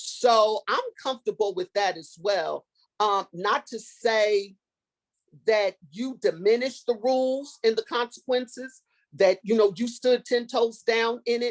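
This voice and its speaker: A woman speaks in a plain, everyday voice, fairly high, with ordinary pitch variation and a fairly slow pace. The sound is dry and close, with no echo. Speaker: former special education teacher. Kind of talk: workshop discussion.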